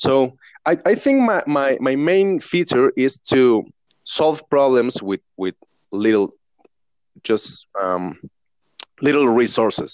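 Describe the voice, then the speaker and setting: In a Mexican accent, a man speaks at a very slow pace with very wide pitch swings, in a dry, close sound with no echo. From Mexico. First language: Spanish. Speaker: professional drummer and online teacher. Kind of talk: casual interview chat. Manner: halting, with frequent restarts.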